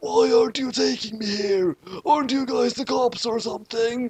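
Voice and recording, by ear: A man's shrill, shouted put-on character voice at an extremely high pitch, with lively intonation, a slightly husky edge and a slightly mellow tone. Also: moderate pace.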